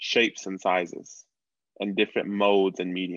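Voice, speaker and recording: Against a quiet background, a man speaks at a moderate pace in a dry, close sound with no echo. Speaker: podcast host. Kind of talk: interview podcast conversation.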